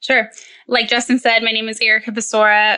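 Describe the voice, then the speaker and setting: A woman talks fairly quickly at a fairly high pitch, in a bright, sharp tone. Her intonation is monotone and flat. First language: Spanish. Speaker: perioperative nurse and children's book author. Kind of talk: podcast interview.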